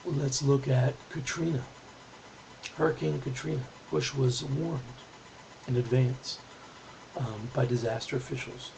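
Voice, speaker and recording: A quiet man's voice at medium pitch, fairly slow, with ordinary pitch variation, long, frequent pauses and noticeable background noise. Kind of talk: political video response to camera.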